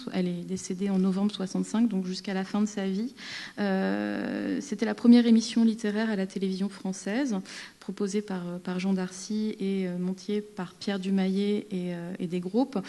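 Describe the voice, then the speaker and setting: A woman speaks at a medium pitch with a dark, mellow tone. Her intonation stays fairly even. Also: moderate pace. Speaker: film archivist or scholar. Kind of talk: conference talk. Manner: halting, many fillers and repeats.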